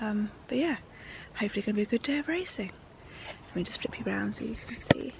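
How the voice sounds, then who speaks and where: Speech comes at a very fast pace, broken by long, frequent pauses. Noticeable background noise runs underneath. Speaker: motorsport vlogger. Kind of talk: vlog. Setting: outdoors.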